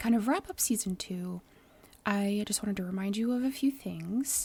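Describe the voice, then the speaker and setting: Someone with a Midwestern accent speaks at a fairly slow pace in a dark, mellow tone that is somewhat breathy. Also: woman. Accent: flat Midwestern, described as non-. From US Midwest. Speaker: podcast host. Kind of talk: casual monologue; interview. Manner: animated.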